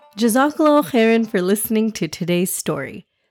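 Lively intonation in an unforced reading voice

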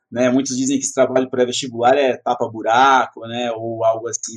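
The man's pitch is medium. His intonation is monotone and flat. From Brazil, São Paulo metro area. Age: 30s. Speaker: educator, prep course founder. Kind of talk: interview.

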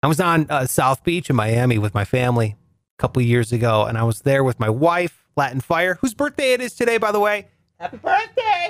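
With an American accent, a man talks at a fairly quick pace through very wide pitch swings, the sound dry and close with no echo. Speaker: podcast host. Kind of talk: casual comedic monologue. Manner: animated.

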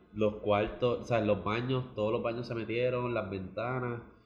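Amid noticeable background noise and audible room echo, a man speaks at medium pitch and a fairly slow pace in a monotone, flat intonation. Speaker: podcast co-host. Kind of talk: casual chat.

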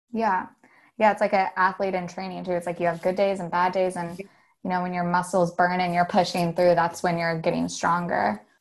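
A woman with a plain, everyday voice speaks fairly quickly in a fairly low pitch. Her intonation stays fairly even against a quiet background. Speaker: artist and filmmaker. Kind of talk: casual interview.

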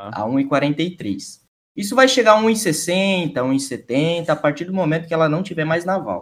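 The speech crawls at a very slow pace while the pitch swings very widely. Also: man, fairly high pitch for a man. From Santa Catarina, southern Brazil. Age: 20s. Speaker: streamer and esports journalist. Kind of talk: casual chat. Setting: live stream.

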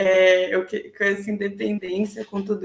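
Amid noticeable background noise, a woman talks at a fairly slow pace in a medium pitch. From São Paulo ABC region, Brazil. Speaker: marketing professional. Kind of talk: casual interview.

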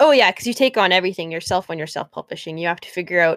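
The sound is dry and close with no echo as a woman of medium pitch speaks with ordinary pitch variation. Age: 20s. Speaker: podcast host and writer. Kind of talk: casual chat.

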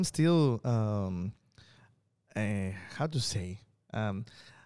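With lively intonation, a man speaks in a Spanish accent. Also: long, frequent pauses. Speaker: stand-up comedian and podcast co-host. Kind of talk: casual chat. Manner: halting.

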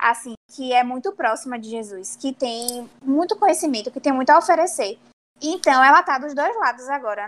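Her intonation is lively and her pitch high. The woman keeps a moderate pace. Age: 20s. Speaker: podcast co-host, friend. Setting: remote recording.

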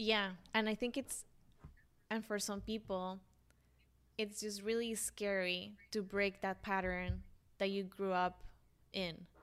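A woman with a Colombian accent speaks at a medium pitch in a monotone, flat intonation. Long, frequent pauses fill the very clean recording with its silent background. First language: Spanish. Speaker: podcast host. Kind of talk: casual interview chat.

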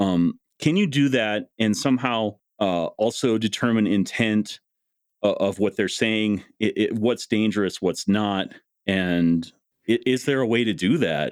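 A man with an American accent and a plain, everyday voice speaks at a fairly slow pace and fairly low pitch, with ordinary pitch variation and very even loudness, in a dry, close sound with no echo on a very clean recording with a silent background. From US Upper Midwest, North Dakota. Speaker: podcast host. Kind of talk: casual interview conversation.

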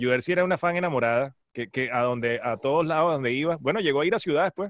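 Using very wide pitch swings, a man with a Venezuelan accent speaks at a fairly high pitch. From Venezuela, Maracay. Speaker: radio host. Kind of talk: casual chat.

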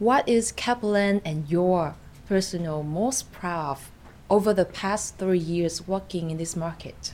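Speaking in a Vietnamese accent, a woman keeps to a fairly slow pace. Her pitch is fairly low, with ordinary variation. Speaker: podcast host. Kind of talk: interview.

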